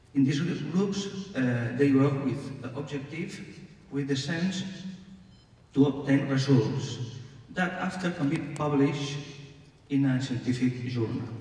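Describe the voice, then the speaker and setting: Over noticeable background noise and audible room echo, a man with a fairly high pitch talks at a fairly slow pace, with ordinary pitch variation and long, frequent pauses. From Catalonia, Spain (Barcelona). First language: Catalan or Spanish. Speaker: panelist, hospital health promotion expert. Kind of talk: conference panel comment. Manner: halting, with hesitations.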